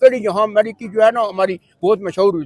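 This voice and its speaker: A man's high voice with ordinary pitch variation comes through a dry, close sound with no echo. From Murree, Pakistan. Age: old. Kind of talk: interview answer.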